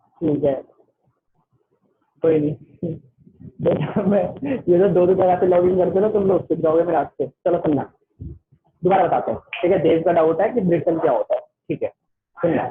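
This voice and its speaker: Pausing often and at length, a man speaks in a high pitch with fairly even intonation. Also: very even loudness. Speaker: online tutor. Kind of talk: online class. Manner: fast; loud.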